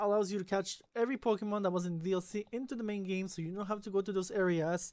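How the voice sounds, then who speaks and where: A woman at a fairly quick pace, medium in pitch, with a non-native accent. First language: not English. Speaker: gaming YouTuber. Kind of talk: let's play commentary. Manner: halting.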